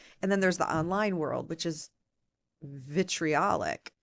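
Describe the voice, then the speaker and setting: A woman's fairly low-pitched voice with a Midwestern accent. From US Midwest, Michigan (Ann Arbor). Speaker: political radio reporter. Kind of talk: podcast interview. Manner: animated.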